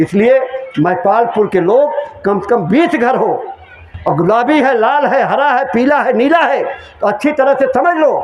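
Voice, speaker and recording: A man speaks loudly at an extremely high pitch, with ordinary pitch variation. Noticeable background noise and audible room echo fill the recording. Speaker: spiritual preacher. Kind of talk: sermon.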